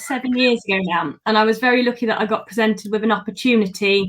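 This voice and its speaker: A woman talks with a British accent. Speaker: holistic therapist. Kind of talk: interview answers. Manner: articulate, clear.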